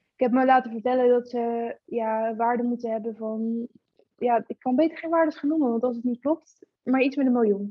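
A woman speaks in a high voice at a moderate pace. Her intonation stays fairly even. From Netherlands, Gorinchem. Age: 20s. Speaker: car photographer. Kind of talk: casual chat.

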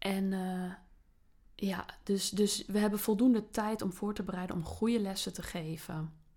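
A woman's dark, mellow tone, somewhat breathy, with fairly even intonation. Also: medium pitch for a woman. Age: 30s. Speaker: teacher. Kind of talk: casual interview.

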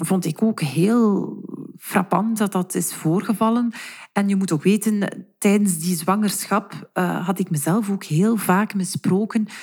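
Over a silent background on a very clean recording, a woman speaks fairly slowly in a dark, mellow, somewhat breathy tone, her pitch medium with ordinary variation. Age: 30s. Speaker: teacher and mother. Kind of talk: interview.

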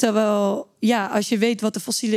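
A woman speaks in an ordinary speaking voice at fairly high pitch. Her pace is fairly slow and her intonation fairly even. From Netherlands, Limburg. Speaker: climate activist, campaign founder. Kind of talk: interview conversation.

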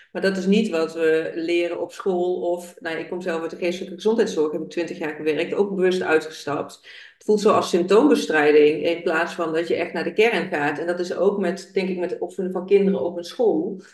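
The speaker talks at a fairly quick pace with hardly any pauses, over noticeable background noise. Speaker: podcast host. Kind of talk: interview.

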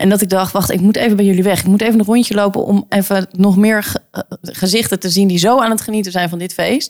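A woman of medium pitch speaks very fast. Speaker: podcast co-host. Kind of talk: casual chat. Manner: animated.

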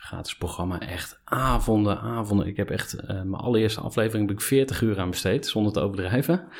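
A man with an unremarkable speaking voice talks at a fairly quick pace in a fairly low pitch, with ordinary pitch variation and hardly any pauses. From eastern Netherlands, Overijssel. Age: 30s. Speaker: podcast host. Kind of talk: interview. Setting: studio.

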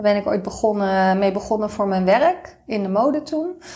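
At a fairly slow pace, a woman with an ordinary speaking voice talks in a fairly high pitch. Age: 40s. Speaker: Instagram influencer and marketing consultant. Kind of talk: interview.

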